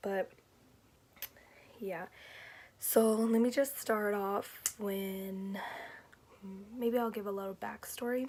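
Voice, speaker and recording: A woman speaks at a fairly slow pace. Her pitch sits in the medium range. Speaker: vlogger. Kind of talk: personal vlog testimony. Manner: halting, with fillers.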